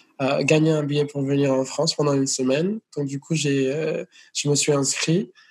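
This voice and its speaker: The man's pitch sits fairly high. His voice is somewhat breathy. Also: fairly even intonation, moderate pace. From United States (born in Venezuela). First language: Spanish or English (speaking French). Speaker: singer. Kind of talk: interview. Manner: hesitant, repeats words.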